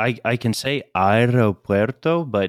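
A man with an American accent speaks with ordinary pitch variation. The sound is dry and close, with no echo. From US South, Chattanooga, Tennessee. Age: 20s. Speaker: language student. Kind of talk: lesson. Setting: remote recording. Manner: halting.

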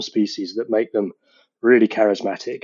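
The speaker is a man with a British accent. He talks very fast. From UK, between London and rural Scotland. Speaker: geography professor. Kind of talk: interview.

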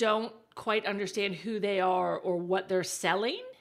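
A woman with an American accent speaks at a fairly slow pace. Her tone is animated. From Texas. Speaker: digital marketing strategist. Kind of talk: casual interview chat. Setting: remote call.

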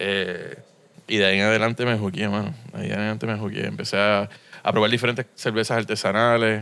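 A man's fairly low, monotone, flat voice with vocal fry, delivered at a very fast pace. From Puerto Rico and US mainland. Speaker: brewery co-founder. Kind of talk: interview conversation. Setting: beer shop.

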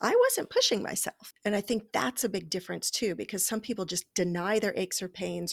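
A woman talks at a moderate pace with fairly even intonation. Hers is an unremarkable speaking voice. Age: 50s. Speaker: wellness podcast co-host, healer. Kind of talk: casual chat. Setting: remote recording over the internet.

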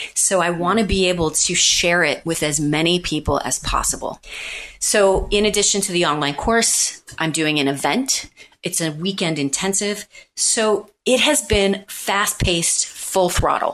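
An unremarkable speaking voice from a woman with an American accent, medium in pitch, with lively intonation at a fairly slow pace. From Missouri, US Midwest. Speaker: public speaking coach and event organizer. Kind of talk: interview.

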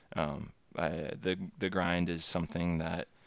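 This man has a very deep, low pitch and speaks with an American accent. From Texas. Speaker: recruiter. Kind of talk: interview. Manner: halting.

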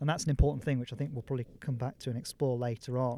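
The sound is dry and close with no echo, carrying a dark, mellow tone. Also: man. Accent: Yorkshire. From Yorkshire, northern England. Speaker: former lawyer turned mountain leader. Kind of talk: interview. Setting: outdoors on a hillside.

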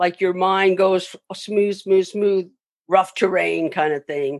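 A woman's medium-pitched voice with an American accent, against a quiet background. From Southern California (Long Beach). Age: 60s. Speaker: makeup effects artist. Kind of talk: interview, casual storytelling. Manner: hesitant, many fillers.

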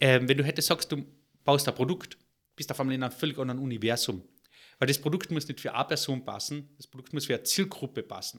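Very rapid delivery from a man, his pitch fairly high, its variation ordinary. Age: 40s. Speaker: entrepreneur, software company founder. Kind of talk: interview.

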